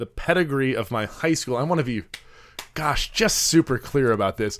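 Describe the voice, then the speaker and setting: A plain, everyday voice from a man with an American accent, fairly high in pitch, with lively intonation at a moderate pace. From US Midwest, Chicago. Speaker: podcast co-host. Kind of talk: casual chat.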